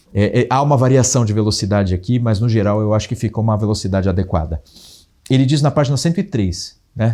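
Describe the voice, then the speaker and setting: This man has a dark, mellow tone and a fairly low pitch. He talks at a very fast pace. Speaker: teacher. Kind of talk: lecture.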